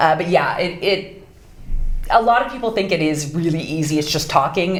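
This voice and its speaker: An American accent amid noticeable background noise and audible room echo. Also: woman. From US Pacific Northwest. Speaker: voice actress. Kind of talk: interview.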